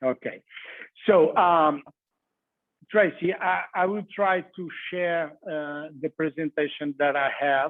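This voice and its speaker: A man speaks very slowly, with long, frequent pauses, in a Portuguese accent. His pitch is fairly high and his intonation stays fairly even. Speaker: cheesemonger. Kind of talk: online masterclass presentation. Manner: halting, many fillers.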